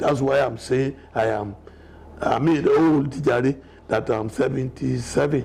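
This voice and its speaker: With a Nigerian accent, a man speaks at medium pitch with ordinary pitch variation against noticeable background noise. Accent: Nigerian (Yoruba) English. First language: Yoruba. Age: 70s. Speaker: elder telling his life story. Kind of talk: interview.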